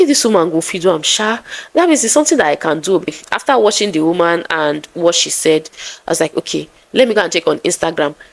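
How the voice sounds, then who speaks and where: A woman with a Nigerian accent and a fairly low voice talks fairly quickly against noticeable background noise. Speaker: content creator. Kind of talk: vlog storytelling. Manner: soft-spoken; calm.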